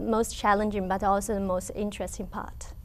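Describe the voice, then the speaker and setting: In a Chinese accent, the speaker talks at a moderate pace. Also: woman. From China. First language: Mandarin Chinese. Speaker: language teacher. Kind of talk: interview. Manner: halting, with pauses.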